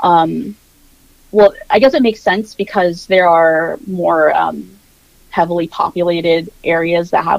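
A normal speaking voice with a General American accent, at a fairly slow pace and with ordinary pitch variation. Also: woman. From Virginia Beach, Virginia, US. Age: 20s. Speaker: social media creator. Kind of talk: casual interview chat.

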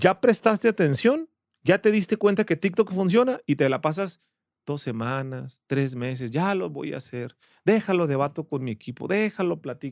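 The voice is animated, with very wide pitch swings at a moderate pace. The sound is dry and close with no echo, in a very clean recording with a silent background. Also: man, fairly high pitch for a man. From Ensenada, Baja California, Mexico. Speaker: entrepreneur and business coach. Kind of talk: casual interview.

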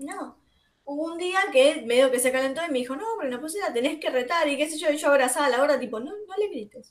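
A woman with a high pitch speaks at a very fast pace. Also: ordinary pitch variation. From Buenos Aires south zone (Guernica). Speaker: podcast host. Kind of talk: casual chat. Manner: animated.

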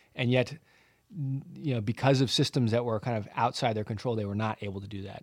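A man with an American accent and a medium-pitched voice. He talks at a fairly quick clip. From US, Southern California (Santa Barbara). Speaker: tech founder, former pro soccer player. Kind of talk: interview. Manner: halting, many fillers.

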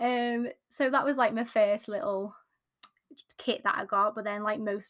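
A woman's fairly high voice with a British accent. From UK. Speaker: craft business owner and pattern designer. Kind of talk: casual interview chat.

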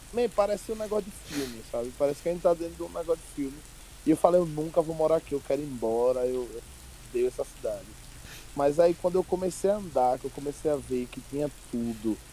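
Speaking very fast with lively intonation in a Sergipe accent, this voice comes through over noticeable background noise. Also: man, fairly high pitch for a man. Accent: Sergipe northeastern Brazilian. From Brazil, Sergipe (Aracaju area). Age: 20s. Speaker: stand-up comedian. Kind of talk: casual chat. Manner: animated.

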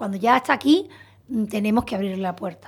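This woman's voice sits fairly high and is somewhat breathy. She keeps a moderate pace. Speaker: psychologist. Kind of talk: radio interview. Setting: radio studio.

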